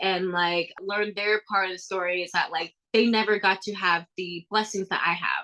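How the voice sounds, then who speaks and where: A woman's bright, sharp voice at a moderate pace, with ordinary pitch variation. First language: Thai. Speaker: athlete and motivational speaker. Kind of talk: podcast interview. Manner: casual, filler-heavy.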